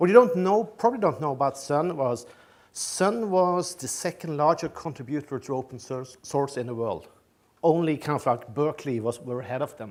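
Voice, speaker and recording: A man with a Norwegian accent at a fairly high pitch, with lively intonation, big swings in loudness and a moderate pace. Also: very clean recording, silent background. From Norway. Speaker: tech company executive, keynote speaker. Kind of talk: conference keynote. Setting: stage with audience. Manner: halting, many fillers and repetitions.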